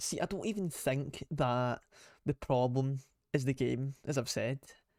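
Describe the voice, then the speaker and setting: Recorded very cleanly against a silent background, a man with a Scottish accent speaks at a medium pitch, the sound dry and close with no echo. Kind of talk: casual rant to camera. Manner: unscripted, off the cuff.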